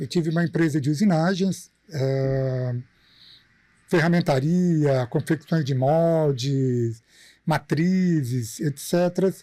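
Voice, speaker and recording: On a very clean recording with a silent background, a man speaks at a fairly slow pace in a dark, mellow tone. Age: 50s. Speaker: industrial maintenance engineer and teacher. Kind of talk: podcast interview.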